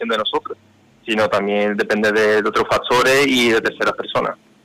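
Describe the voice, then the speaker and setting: A man speaks over noticeable background noise. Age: 20s. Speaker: brotherhood official. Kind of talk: interview.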